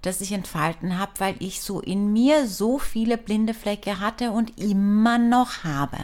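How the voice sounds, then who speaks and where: Ordinary pitch variation and a very slow pace, on a very clean recording with a silent background. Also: woman. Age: 40s. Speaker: spiritual healer and podcast host. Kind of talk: podcast monologue.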